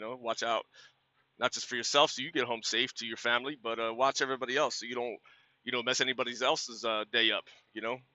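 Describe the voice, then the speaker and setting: A man's very fast, monotone, flat delivery, dry with no echo, against a quiet background. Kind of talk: casual vlog chat. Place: car. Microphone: phone near.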